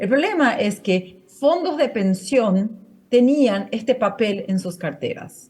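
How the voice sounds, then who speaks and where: With a Portuguese accent, a woman talks at a fairly slow pace. Her dark, mellow voice makes very wide pitch swings. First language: Portuguese (speaking Spanish). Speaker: finance network coordinator, panel speaker. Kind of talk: conference talk. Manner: halting, many fillers and restarts.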